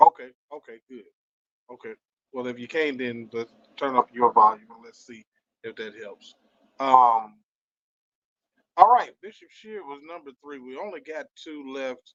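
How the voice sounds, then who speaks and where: Soft-spoken and pitched in the medium range, a man talks at a fairly slow pace with ordinary pitch variation, long, frequent pauses and big swings in loudness, in a dry, close sound with no echo. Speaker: church news show host. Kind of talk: live stream commentary. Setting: livestream. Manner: hesitant, many fillers.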